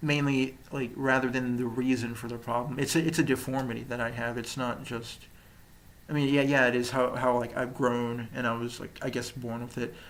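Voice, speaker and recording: A man's flat, monotone voice at medium pitch and a moderate pace, with audible room echo. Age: 20s. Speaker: vlogger documenting his jaw surgery. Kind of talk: personal video diary. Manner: halting, many fillers and restarts.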